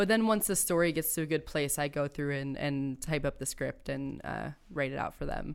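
A woman's very deep, low voice with ordinary pitch variation, in a very clean recording with a silent background. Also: moderate pace. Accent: American. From Akron, Ohio. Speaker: theater artist and festival organizer. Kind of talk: casual interview chat.

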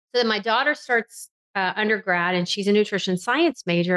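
A woman's normal speaking voice at a fairly quick pace, with ordinary pitch variation and a dry, close sound with no echo. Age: 50s. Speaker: physician. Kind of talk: interview.

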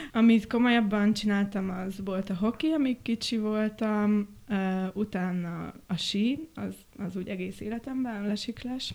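A woman with an ordinary speaking voice talks at a fairly slow pace and a fairly high pitch, her pitch varying in an ordinary way. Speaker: set and costume designer. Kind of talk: casual chat.

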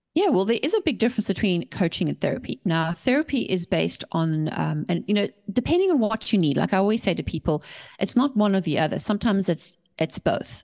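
A woman talks at a very fast pace and medium pitch with very wide pitch swings, very even loudness and vocal fry. The sound is dry and close with no echo, over a quiet background. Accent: South African. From South Africa. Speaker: author and mindset coach. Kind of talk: interview. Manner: animated.

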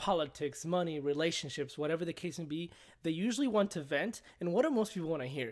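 Speaking with a Spanish accent, a man keeps a fairly quick pace and a fairly high pitch. The recording is very clean, with a silent background. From Mexico. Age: 20s. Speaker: guest, apartment property manager. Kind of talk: casual chat. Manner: talkative, humorous, halting with repeats.

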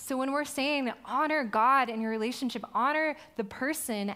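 Animated and bright, with a sharp tone, a woman speaks at a moderate pace with ordinary pitch variation. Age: 20s. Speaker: young adults pastor. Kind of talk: sermon. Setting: stage with audience.

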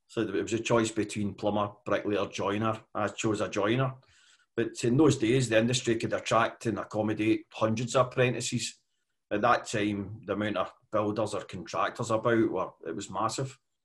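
In a west of Scotland accent, a man speaks at a moderate pace and medium pitch, somewhat breathy and with monotone, flat intonation, against a quiet background. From west coast of Scotland, mining community. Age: 50s. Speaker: construction management consultant. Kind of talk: interview.

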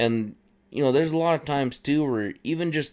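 A man with a western Canadian accent, at a moderate pace and with ordinary pitch variation. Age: 30s. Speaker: outdoors podcast host. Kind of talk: casual monologue. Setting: recording at his workplace. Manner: relaxed, frequent fillers.

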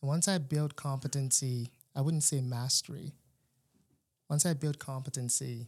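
A man talks at a moderate pace and medium pitch, with fairly even intonation and a somewhat breathy voice. The recording is very clean, with a silent background. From Nigeria. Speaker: engineer turned business student. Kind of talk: casual interview.

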